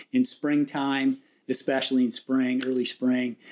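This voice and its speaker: A man at medium pitch with an American accent, fairly even intonation and a moderate pace. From Southern California, San Dimas. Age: 60s. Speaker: local historian, lifelong resident. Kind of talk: interview.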